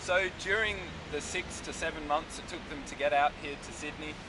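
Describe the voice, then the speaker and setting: Behind the voice lies noticeable background noise. A man delivers his words at a moderate pace. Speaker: walking tour guide. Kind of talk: tour guide commentary. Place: street. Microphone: phone near.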